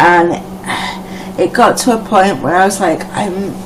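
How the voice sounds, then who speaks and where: Amid noticeable background noise and audible room echo, a woman with a medium pitch speaks in an American accent. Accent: mostly Scottish, bits of Irish and American. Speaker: live streamer. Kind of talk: casual chat. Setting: live video stream. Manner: hesitant, many fillers.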